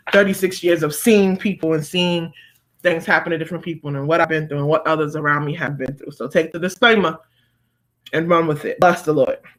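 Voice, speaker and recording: The intonation stays fairly even at a fairly quick pace. The recording is very clean, with a silent background. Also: woman, fairly low pitch for a woman. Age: 30s. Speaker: motivational speaker and church leader. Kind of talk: live-stream motivational talk. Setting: live stream. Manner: emphatic, preacherly.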